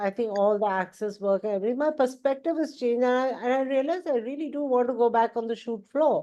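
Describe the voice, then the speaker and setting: Very fast and with hardly any pauses, a woman speaks in a high, dark, mellow voice with ordinary pitch variation over a quiet background. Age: 60s. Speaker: advertising film producer and director. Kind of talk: group coaching call.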